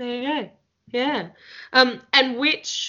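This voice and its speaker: Speaking with an Australian accent, a woman keeps a moderate pace. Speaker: podcast host. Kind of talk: casual interview chat.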